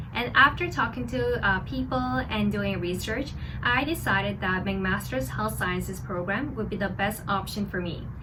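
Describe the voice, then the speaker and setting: A woman with a Korean accent speaks at a moderate pace with hardly any pauses, over noticeable background noise and audible room echo. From South Korea. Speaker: doctor and video creator. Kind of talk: personal vlog storytelling.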